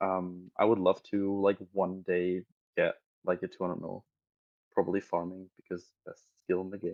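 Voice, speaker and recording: In a German accent, a man speaks with a very deep, low pitch and a monotone, flat intonation. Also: moderate pace, big swings in loudness. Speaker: online gamer. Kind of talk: podcast interview.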